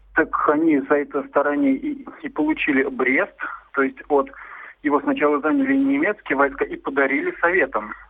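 Very wide pitch swings mark this man's high voice, delivered at a moderate pace over noticeable background noise. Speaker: caller. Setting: phone call.

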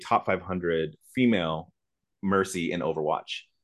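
A man with an American accent, very deep and low in pitch, with ordinary pitch variation and a fairly slow pace, over a quiet background. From Lawton, Oklahoma, US. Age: 40s. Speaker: university esports director. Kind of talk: panel discussion.

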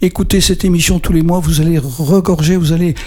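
A man speaks at a high pitch. Noticeable background noise is present. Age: 70s. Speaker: radio co-host living with Parkinson's. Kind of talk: radio talk show.

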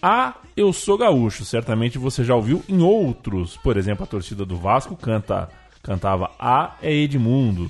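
Over background music, a man talks fairly slowly at a medium pitch with very wide swings in pitch. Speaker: podcast host. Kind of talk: casual chat.

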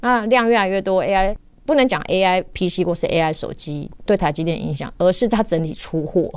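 A woman's medium-pitched voice, a normal speaking voice, at a moderate pace with ordinary pitch variation. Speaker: technology journalist. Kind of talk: interview.

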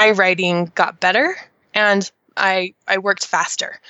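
This woman speaks with an American accent. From Idaho, US. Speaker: author and mentor. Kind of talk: interview. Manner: animated.

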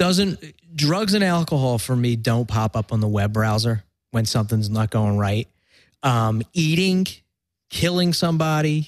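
A Philadelphia accent with very wide pitch swings at a fairly slow pace, on a very clean recording with a silent background. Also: man, medium pitch for a man. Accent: Philadelphia American. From Philadelphia, US. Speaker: recovering addict sharing his story. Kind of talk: casual interview chat. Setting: podcast.

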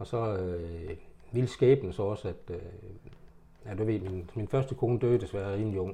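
His pitch is fairly low and his tone dark and mellow, somewhat breathy with ordinary pitch variation. The man speaks at a moderate pace with long, frequent pauses. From Denmark, Horsens. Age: 70s. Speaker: retired haulier. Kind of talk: life story interview. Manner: halting.

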